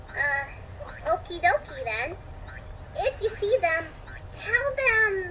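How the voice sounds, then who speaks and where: A loud, put-on character voice, female-sounding and extremely high in pitch, at a very slow pace with long, frequent pauses over clear background noise. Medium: read story. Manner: bubbly, upbeat.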